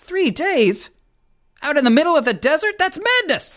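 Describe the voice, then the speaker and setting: A high, put-on character voice at a moderate pace. The pitch swings very widely. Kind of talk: comic radio sketch. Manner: flustered, excitable, stammering.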